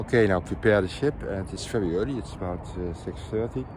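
A man talks at a moderate pace. The sound is dry with no echo, but there is noticeable background noise. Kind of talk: casual vlog chat. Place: boat. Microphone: phone near.

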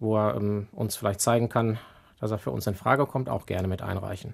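A man speaks very fast. His pitch is fairly low. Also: very clean recording, silent background. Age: 40s. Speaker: apprenticeship and HR staff. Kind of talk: casual interview. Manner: hesitant fillers.

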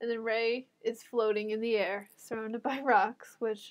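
Her pitch is fairly high and her intonation monotone and flat. The woman moves at a moderate pace. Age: college student. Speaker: podcast co-host. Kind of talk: casual chat.

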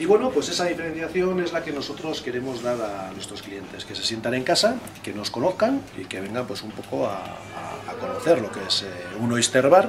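Against clear music in the background, a man speaks at a moderate pace with big swings in loudness. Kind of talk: interview answer. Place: bar.

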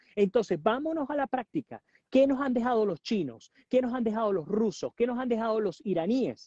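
Against a quiet background, a man's voice comes through with a dry sound and no echo. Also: moderate pace. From Venezuela, Puerto Ordaz; Venezuela. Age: 40s. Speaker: journalist and political analyst; journalist, political analyst. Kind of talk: interview. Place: garden. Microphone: earbuds.

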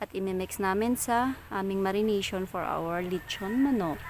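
A woman's fairly slow, lively-toned speech over noticeable background noise. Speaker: vlogger. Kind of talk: casual vlog narration. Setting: outdoors.

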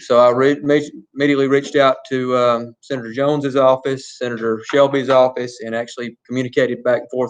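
Very fast and monotone, a man talks with flat intonation at a medium pitch. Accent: Alabama. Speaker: school superintendent. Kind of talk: board meeting report. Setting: public meeting, livestreamed.

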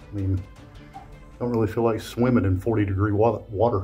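Faint music plays in the background as a man with a fairly low pitch speaks at a fairly slow pace with fairly even intonation. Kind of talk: casual vlog chat. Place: tunnel cave. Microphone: phone near.

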